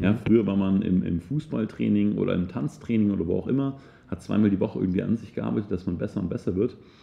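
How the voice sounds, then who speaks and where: Speaking very fast, a man with a fairly low voice uses lively intonation. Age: 20s. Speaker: entrepreneur and motivational speaker. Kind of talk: interview. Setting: quiet corner at a seminar venue during lunch break.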